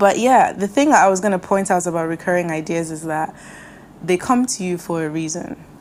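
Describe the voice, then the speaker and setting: Amid noticeable background noise, a woman talks at a fairly quick pace in a medium pitch with ordinary pitch variation. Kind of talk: pep talk. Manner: direct, encouraging, addressing the listener personally; warm, animated.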